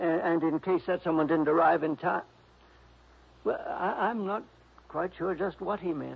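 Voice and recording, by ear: In a put-on character voice at a fairly high pitch, a man speaks at a fairly slow pace with vocal fry, a slightly husky edge and ordinary pitch variation.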